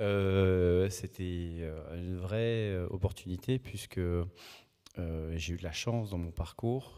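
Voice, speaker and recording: On a very clean recording with a silent background, a man with a very deep, low pitch and a dark, mellow tone speaks at a very slow pace with fairly even intonation. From French Basque Country. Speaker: housing buyer giving testimony. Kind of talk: panel testimony.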